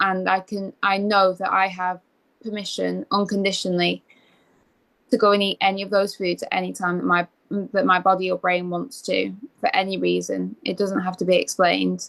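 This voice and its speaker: A woman with an English accent at a moderate pace. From England. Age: 20s. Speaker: eating disorder recovery coach. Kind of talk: interview.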